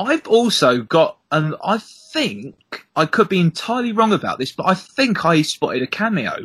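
With a Southeast English accent, the speaker talks with hardly any pauses and very wide pitch swings, in a dry, close sound with no echo. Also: man, high pitch for a man, moderate pace. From Southeast England. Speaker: podcast co-host. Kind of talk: casual chat.

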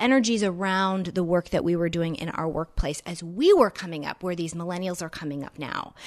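A woman with an ordinary speaking voice talks at a moderate pace in a medium pitch with ordinary pitch variation, against a quiet background. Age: 30s. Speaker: career coach. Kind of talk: interview. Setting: host's home.

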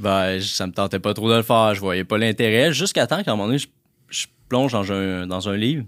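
A plain, everyday voice runs at a fairly quick pace with ordinary pitch variation on a very clean recording with a silent background. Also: man, fairly low pitch for a man. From Quebec, La Tuque. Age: 20s. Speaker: entrepreneur. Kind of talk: interview.

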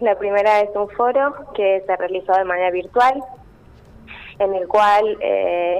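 Noticeable background noise surrounds a woman whose voice sits at a medium pitch. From Argentina, Córdoba province (Villa del Rosario). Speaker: chemical engineer and doctoral researcher. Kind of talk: radio interview.

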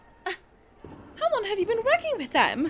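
A put-on character voice, squeaky and extremely high-pitched. The pitch swings very widely at a fairly quick pace. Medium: actual play. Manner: gushing, flustered.

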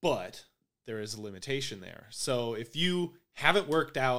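A man with a normal speaking voice, medium pitch, and moderate pace. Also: very clean recording, silent background. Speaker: podcast host. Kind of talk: casual chat. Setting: hotel room. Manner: profane, casual.

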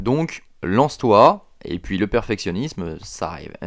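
A man talks with very wide swings in pitch. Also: quiet background. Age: 30s. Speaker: podcast host, fitness coach. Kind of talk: solo motivational monologue. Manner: hesitant, many fillers.

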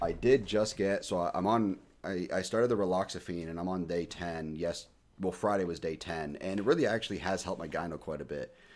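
Speaking at a fairly quick pace, a man with an American accent has a very deep, low pitch and ordinary pitch variation. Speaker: podcast host. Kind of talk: casual chat. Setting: remote recording. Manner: casual, profane.

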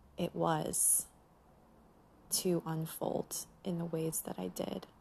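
A woman speaks at a very slow pace. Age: 40s. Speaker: podcast host. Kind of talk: reflective personal monologue.

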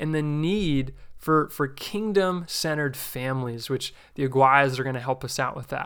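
Lively in intonation and bright, sharp in tone, a man speaks at a fairly slow pace on a very clean recording with a silent background. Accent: American. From New Jersey. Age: 20s. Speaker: podcast host. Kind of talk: religious teaching podcast.

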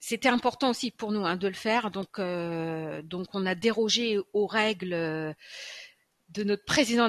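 Very slowly, a woman speaks at a medium pitch. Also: dry, close sound with no echo. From France, Châlons-en-Champagne. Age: 50s. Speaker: nurse. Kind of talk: interview. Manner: hesitant, many fillers.

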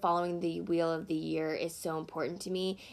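This woman has an American accent and a dark, mellow tone at a medium pitch. She speaks at a moderate pace in a very clean recording with a silent background. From US Deep South, small town. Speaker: podcast host. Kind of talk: solo podcast monologue. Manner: casual, laughing often.

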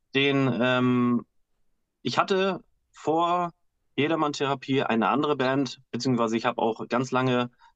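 A man's medium-pitched voice, fairly slow in pace, with ordinary pitch variation. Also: dry, close sound with no echo. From Husum, northern Germany. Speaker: bassist and backing singer. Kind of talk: casual chat. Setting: video call from home.

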